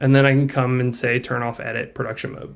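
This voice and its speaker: Here a man speaks at a medium pitch. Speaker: software developer. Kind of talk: software demo tutorial. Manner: casual, filler-heavy.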